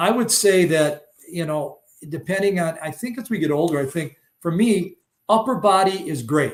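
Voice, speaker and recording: Here a man speaks with a high pitch. He keeps a moderate pace and ordinary pitch variation. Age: 70s. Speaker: fishing angler. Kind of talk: podcast interview. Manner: halting with many fillers.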